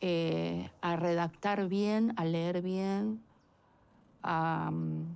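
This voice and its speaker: A woman's fairly low-pitched voice. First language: Chinese (speaking Spanish). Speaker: documentary interviewee. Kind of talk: casual chat.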